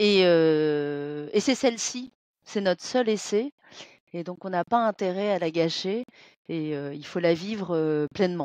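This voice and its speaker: Lively intonation at a very slow pace, with a dry, close sound with no echo and a quiet background. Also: woman, fairly low pitch for a woman. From France, born in Vietnam. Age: 40s. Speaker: real estate manager. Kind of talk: interview. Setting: video call. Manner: halting, many fillers.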